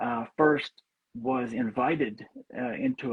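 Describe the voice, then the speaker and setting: An American accent in a man's medium-pitched voice. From US South. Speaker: psychologist. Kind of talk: casual chat. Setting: livestream video call.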